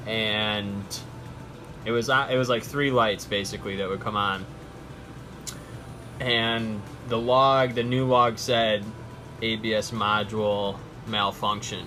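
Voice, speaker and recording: A man speaks at a very slow pace, with long and frequent pauses. His medium-pitched voice stays flat and monotone over noticeable background noise. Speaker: DIY car repair presenter. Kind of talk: casual how-to talk. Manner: stuttering, stammering.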